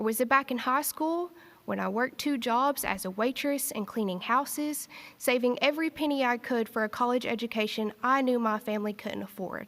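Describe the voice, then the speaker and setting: Speaking at a fairly quick pace in a strong Eastern Kentucky accent, a woman uses a high pitch with ordinary pitch variation. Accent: thick Eastern Kentucky. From Eastern Kentucky, Appalachia. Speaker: graduating student speaker. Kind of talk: commencement speech. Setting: stage with audience in arts center.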